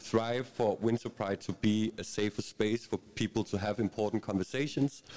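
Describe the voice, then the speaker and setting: Fairly even intonation at a moderate pace, with a Danish accent. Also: man. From Bornholm, Denmark. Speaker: panel moderator. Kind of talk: panel discussion. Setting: stage with audience.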